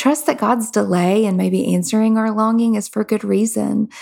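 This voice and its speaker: On a very clean recording with a silent background, a woman talks at a moderate pace in a fairly high pitch, with a dark, mellow tone and ordinary pitch variation. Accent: Southern US. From Kentucky. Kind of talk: faith-based interview.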